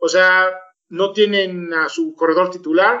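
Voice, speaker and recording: This man's voice is high-pitched. He keeps his intonation fairly even. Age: 40s. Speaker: sports podcast co-host. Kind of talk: casual chat.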